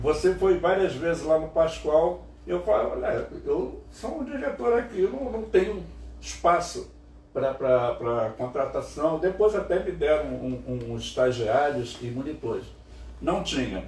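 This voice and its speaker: Audible room echo surrounds a man who talks fairly slowly. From Niterói, Rio de Janeiro, Brazil. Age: 70s. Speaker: cultural show host. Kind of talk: casual interview chat. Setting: home studio.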